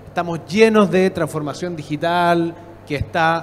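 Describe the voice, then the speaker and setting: A man's fairly even intonation is heard over noticeable background noise. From Chile. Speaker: public innovation expert, panelist. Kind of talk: conference panel talk.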